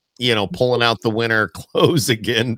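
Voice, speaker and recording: The sound is dry and close, with no echo. A man talks at a medium pitch. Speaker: online show host. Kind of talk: casual chat. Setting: video call. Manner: animated.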